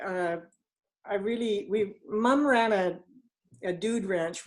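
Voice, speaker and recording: A woman is speaking. She has a Western Canadian accent and ordinary pitch variation. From Canada, northeastern British Columbia. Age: 60s. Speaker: network marketing team leader. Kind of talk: interview. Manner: halting.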